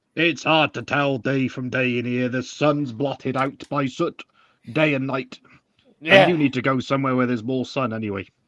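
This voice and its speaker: Using a put-on character voice, a man speaks at medium pitch and a moderate pace. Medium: actual play. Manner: blunt, gruff, casual.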